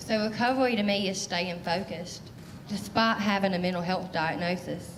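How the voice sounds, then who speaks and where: The voice holds a fairly even intonation, with audible room echo and noticeable background noise. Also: woman, medium pitch for a woman. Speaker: mental health storyteller. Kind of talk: spoken word performance. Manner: fast; loud.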